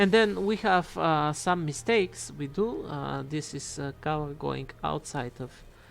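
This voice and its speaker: A woman with a non-native accent speaks at a very deep, low pitch and a fairly slow pace. Her intonation is lively, with hardly any pauses. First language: not English. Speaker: digital artist. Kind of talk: tutorial. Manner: halting.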